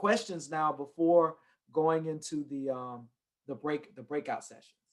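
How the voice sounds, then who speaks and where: With a Southern US accent, this voice moves along. It keeps a fairly slow pace. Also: man. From US South. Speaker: redistricting expert presenter. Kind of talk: workshop presentation.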